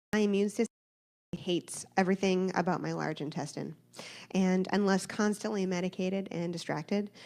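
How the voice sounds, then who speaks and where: A woman talks at a fairly quick pace and a medium pitch. Her intonation is monotone and flat. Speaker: church member sharing testimony. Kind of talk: testimony. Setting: church.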